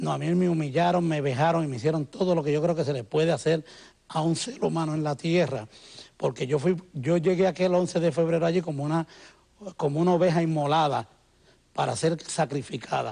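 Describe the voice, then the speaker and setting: Fairly quick and fairly high-pitched, a man speaks with a dark, mellow tone in a Puerto Rican accent. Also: ordinary pitch variation. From Puerto Rico. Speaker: musician, former church member. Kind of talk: TV interview testimony.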